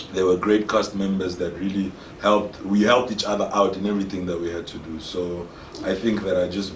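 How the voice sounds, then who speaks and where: Speech comes at a fairly quick pace in a monotone, flat intonation. Audible room echo surrounds the voice. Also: man, fairly low pitch for a man. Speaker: actor. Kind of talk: interview.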